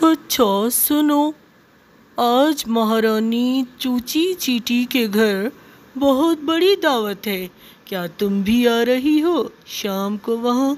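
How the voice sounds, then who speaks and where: The speaker uses a cartoonish character voice that sounds female and sits at a high pitch. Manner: chatty, lively.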